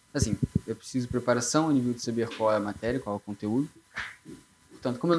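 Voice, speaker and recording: A man speaks at a very fast pace. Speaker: engineering physics student and tutor. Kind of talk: live podcast interview. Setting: live event with audience.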